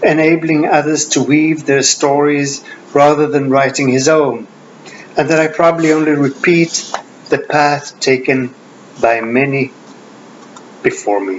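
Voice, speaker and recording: Over noticeable background noise, a man talks at a fairly slow pace with long, frequent pauses, his fairly high pitch held in fairly even intonation. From Sweden. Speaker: Jungian analyst and author. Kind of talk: lecture with reading aloud. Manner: formal.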